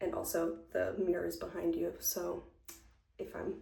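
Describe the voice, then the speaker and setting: Soft-spoken, a woman talks with audible room echo. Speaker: lifestyle vlogger. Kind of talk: casual chat. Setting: at home, doing makeup on camera.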